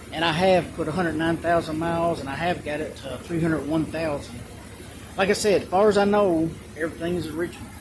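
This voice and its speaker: Despite noticeable background noise, a man with a high pitch and fairly even intonation speaks at a very fast pace. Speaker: vehicle owner vlogger. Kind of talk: casual show-and-tell. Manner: halting.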